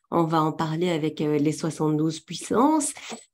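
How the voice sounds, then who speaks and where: Fairly slow delivery with a Belgian accent and a dark, mellow tone. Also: woman. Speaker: trainer in tarot and runes. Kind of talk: webinar presentation. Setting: webinar, talking to a camera.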